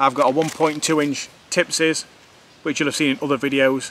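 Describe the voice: A man with a fairly bright tone and fairly even intonation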